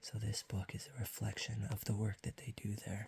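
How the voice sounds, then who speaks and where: The speaker is soft-spoken, with noticeable background noise behind the voice. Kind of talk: ASMR soft-spoken ramble with tapping. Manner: soft-spoken, quiet.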